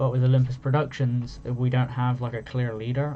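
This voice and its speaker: In a relaxed tone and with a British accent, a man talks fairly quickly at a medium pitch, his intonation monotone and flat. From Britain. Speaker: gaming content creator. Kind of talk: casual vlog monologue. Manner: relaxed, rambling.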